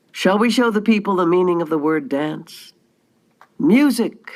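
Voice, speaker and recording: A woman uses a put-on character voice with lively intonation at medium pitch. She talks at a moderate pace. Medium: read story. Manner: imperious.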